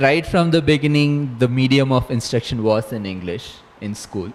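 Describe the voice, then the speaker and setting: A man with an Indian accent speaks at a fairly slow pace, his intonation lively. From southern India (Chennai). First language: Saurashtra. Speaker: astronomer, lecturer. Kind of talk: interview; lecture. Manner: halting.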